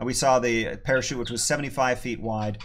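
A man talks at a moderate speed, with light noise in the background. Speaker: planetarium host. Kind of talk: livestream Q&A commentary. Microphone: earbuds.

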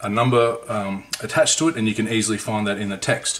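Against noticeable background noise, a man with an Australian accent speaks fairly quickly at a fairly low pitch. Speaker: scale model hobbyist and reviewer. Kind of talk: book review video. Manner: casual, conversational.

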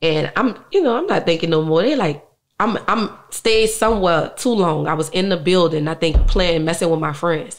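A woman with a New Orleans accent, fairly low in pitch, at a moderate pace with ordinary pitch variation against a quiet background. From New Orleans, uptown. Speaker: musician; interview guest. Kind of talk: interview. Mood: emotional, reflective about family loss. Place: studio. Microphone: studio mic.

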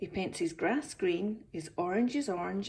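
Lively intonation in a natural reading voice.

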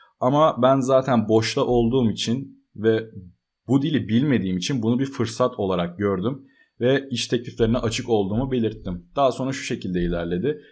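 A man of medium pitch at a moderate pace, ordinary pitch variation, on a very clean recording with a silent background. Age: 20s. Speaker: software developer and computer engineering student. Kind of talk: casual vlog talk.

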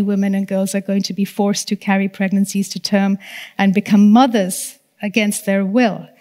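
A woman with a dark, mellow tone speaks in an American accent. Her pace is moderate against a quiet background. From Nepal. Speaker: human rights lawyer; panelist. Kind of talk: panel discussion. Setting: debating chamber with live audience.

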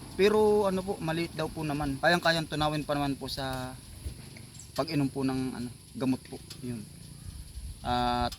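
A man with a normal speaking voice talks at a moderate pace, his fairly high pitch varying in an ordinary way. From Philippines, Bicol/Quezon area (Tagkawayan). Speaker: rural farm vlogger. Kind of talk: vlog narration. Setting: outdoors, market. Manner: polite, uses po often.

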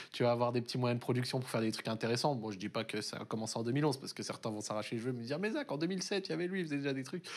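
The speaker talks at a very fast pace with hardly any pauses. Intonation is lively. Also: man. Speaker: esports show host. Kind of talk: casual interview. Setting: studio. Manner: fast talker. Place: studio.

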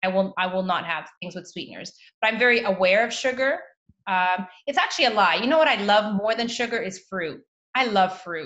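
An animated woman speaks at a fairly quick pace with ordinary pitch variation. Her background is quiet. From Canada, Toronto. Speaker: naturopathic doctor; guest. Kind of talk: interview. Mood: warm, relaxed. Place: home room. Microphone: video call.

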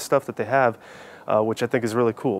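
A man's monotone, flat delivery in a dry sound with no echo. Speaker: hiking channel host. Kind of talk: casual vlog chat. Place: garden. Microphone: lapel.

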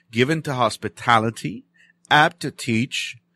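An unremarkable speaking voice from a man, fairly slow, with ordinary pitch variation, in a very clean recording with a silent background and a dry, close sound with no echo. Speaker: radio preacher. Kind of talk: bible study teaching. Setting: radio studio.

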